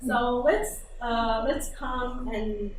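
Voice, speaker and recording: In a non-native accent, a woman with a fairly high pitch speaks at a very slow pace with audible room echo. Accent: foreign accent, judged for it. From Iran. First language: Persian. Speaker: English teacher and researcher. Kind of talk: conference workshop presentation. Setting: conference room with audience. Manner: hesitant, many fillers.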